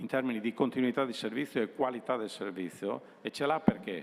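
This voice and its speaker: A man speaks in a normal speaking voice, medium in pitch, with ordinary pitch variation. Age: 60s. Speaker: utility company executive. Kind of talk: presentation to students.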